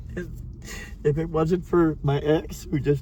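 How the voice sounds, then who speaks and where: A man's fairly high voice with fairly even intonation, over noticeable background noise. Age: 60s. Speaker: homeless man. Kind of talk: testimony.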